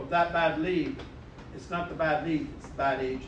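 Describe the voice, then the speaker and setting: The man's pitch is high, with ordinary variation, and he keeps a moderate pace. Audible room echo and noticeable background noise are present. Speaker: real estate sales trainer. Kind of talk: live training session. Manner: animated.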